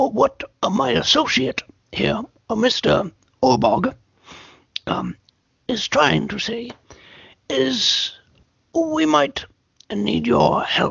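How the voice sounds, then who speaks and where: A raspy put-on character voice speaks at a very slow pace, broken by long, frequent pauses. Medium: actual play. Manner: comic, hesitant.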